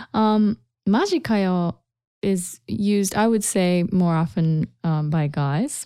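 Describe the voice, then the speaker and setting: Very slow speech in a Japanese accent, with lively intonation and a dark, mellow tone. The loudness stays very even, and the recording is very clean with a silent background. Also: woman, medium pitch for a woman. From Japan, Kansai. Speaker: Japanese language teacher. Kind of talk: language lesson podcast.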